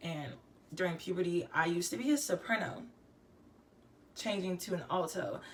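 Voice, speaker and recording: Amid noticeable background noise, a woman talks at a moderate pace with lively intonation and long, frequent pauses. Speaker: singer-songwriter. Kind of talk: casual vlog monologue.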